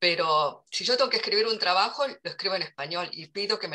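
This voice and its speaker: Her intonation lively, a woman speaks at a moderate speed. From Argentina. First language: Korean (speaking Spanish). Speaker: literary translator. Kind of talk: interview. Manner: halting.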